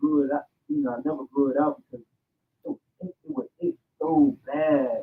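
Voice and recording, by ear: The voice has vocal fry, a slightly husky edge and big swings in pitch. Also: man.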